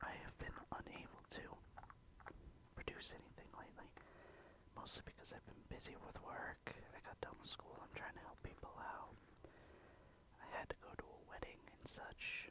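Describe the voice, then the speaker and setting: A man whispers at a moderate pace. His pauses are long and frequent. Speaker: ASMR creator. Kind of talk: ASMR casual talk. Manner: whispered.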